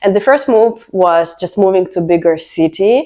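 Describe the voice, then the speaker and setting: A woman speaks with a Russian accent. Her intonation is lively. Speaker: vlogger. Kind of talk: personal story vlog.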